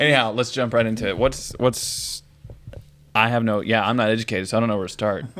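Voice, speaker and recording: Mumbling at a very fast pace, a man talks at a medium pitch with fairly even intonation. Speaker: podcast co-host. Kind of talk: casual chat.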